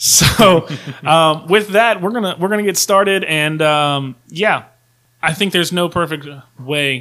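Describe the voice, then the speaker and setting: A bright, sharp American accent at a moderate pace on a very clean recording with a silent background. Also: man. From Virginia. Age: 30s. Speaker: podcast host. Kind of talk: casual chat. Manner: animated.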